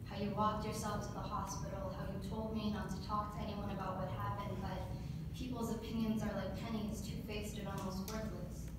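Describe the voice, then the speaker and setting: A woman talks at a fairly quick pace with audible room echo and loud background noise. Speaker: poet. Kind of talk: spoken word poetry performance, reading a poem aloud to council. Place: meeting room. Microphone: camera far.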